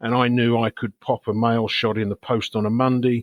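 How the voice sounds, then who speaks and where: Delivered at a moderate pace with fairly even intonation, this English-accented voice has a dry, close sound with no echo. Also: man. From England. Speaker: sales executive. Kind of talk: podcast interview.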